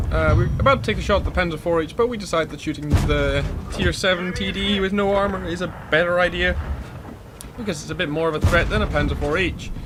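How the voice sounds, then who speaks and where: A man speaks very fast while noticeable background noise plays behind him. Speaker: gaming commentator. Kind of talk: game replay commentary. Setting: cheap home microphone.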